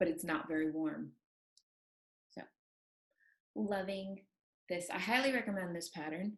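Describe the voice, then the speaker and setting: A woman with a fairly low pitch and ordinary pitch variation speaks with long, frequent pauses. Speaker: knitting podcast co-host. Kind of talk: casual chat. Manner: fast.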